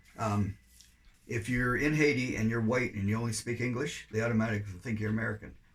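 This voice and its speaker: A man speaks at a very fast pace and sounds somewhat breathy. His medium pitch stays in fairly even intonation. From Canada. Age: 70s. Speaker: volunteer overseas missionary. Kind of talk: interview.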